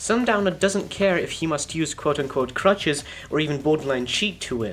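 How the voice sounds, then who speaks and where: Speech goes along at a fairly quick pace. Background music is heard. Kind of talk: video essay narration.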